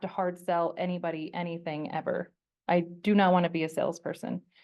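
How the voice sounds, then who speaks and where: With an American accent, a woman in an unremarkable speaking voice talks at a fairly quick pace and a fairly low pitch. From Colorado. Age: 40s. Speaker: portrait photographer. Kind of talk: presentation with audience Q&A. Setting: stage with audience, also streamed online. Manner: casual, conversational.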